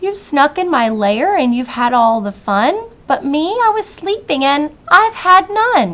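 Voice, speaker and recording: In a put-on character voice, a woman speaks at a fairly slow pace with a high pitch and very wide pitch swings. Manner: grumbling, annoyed.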